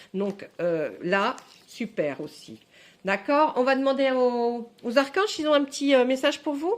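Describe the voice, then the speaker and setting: At a fairly slow pace, a woman speaks high in pitch with very wide pitch swings. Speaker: tarot card reader. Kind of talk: tarot reading video. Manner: halting, many fillers and repetitions.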